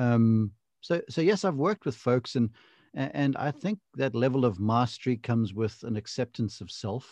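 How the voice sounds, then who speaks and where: In a normal speaking voice, a man talks at a moderate pace and medium pitch with lively intonation, the sound dry and close with no echo. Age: 50s. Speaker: golf broadcaster and coach. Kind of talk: casual interview.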